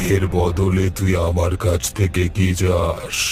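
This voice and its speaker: In a cartoonish character voice, the speaker goes at a fairly slow pace over clear background noise. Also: man, very deep, low pitch for a man. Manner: menacing, demanding.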